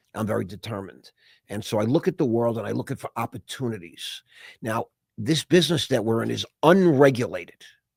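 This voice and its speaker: On a very clean recording with a silent background, a man talks at a fairly quick pace and medium pitch, with vocal fry and lively intonation. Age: 60s. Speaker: investor and entrepreneur. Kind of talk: casual chat. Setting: podcast interview.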